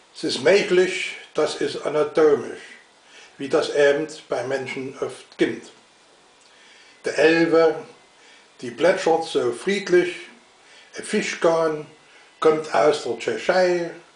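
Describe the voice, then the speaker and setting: A man with a Saxon accent talks at a very slow pace in a high pitch, his loudness swinging widely. He takes long, frequent pauses, and the room echo is audible. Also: ordinary pitch variation. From Saxony. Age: old. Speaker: dialect reciter. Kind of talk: dialect poetry reading. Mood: humorous, calm. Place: home room. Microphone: webcam.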